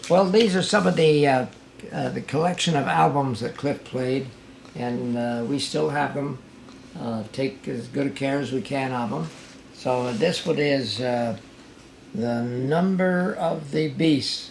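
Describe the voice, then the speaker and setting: The speaker talks at a fairly slow pace with lively intonation. Noticeable background noise is present. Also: man, medium pitch for a man. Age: 80s+. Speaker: father of a late rock musician. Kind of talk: casual talk to camera. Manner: hesitant, halting; humorous.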